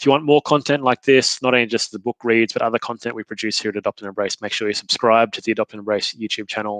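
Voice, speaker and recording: Speaking at a very fast pace with hardly any pauses, a man holds a medium pitch. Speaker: author and company founder. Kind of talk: live-streamed book reading with commentary. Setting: live stream. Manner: casual, with frequent fillers.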